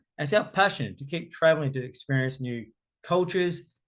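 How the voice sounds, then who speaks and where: With an Australian accent, a man speaks in a fairly high pitch with lively intonation. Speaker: cruise tour director. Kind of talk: travel presentation. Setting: online virtual event.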